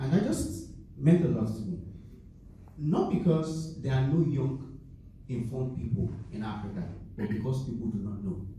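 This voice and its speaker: With lively intonation, a man speaks in a room with audible echo and noticeable background noise. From Nigeria. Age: young. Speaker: graduate student, panelist. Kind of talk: panel discussion.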